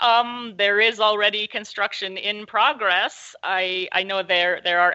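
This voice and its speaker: Pitch moves with ordinary variation. The speaking pace is moderate. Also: woman. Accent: Pacific Northwest. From US Pacific Northwest. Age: 60s. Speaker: local journalist. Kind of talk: interview conversation. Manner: hesitant, many fillers.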